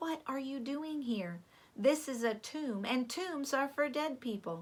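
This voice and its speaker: A woman uses a put-on character voice, pitched high and delivered at a fairly slow pace. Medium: read story. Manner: warm, reassuring.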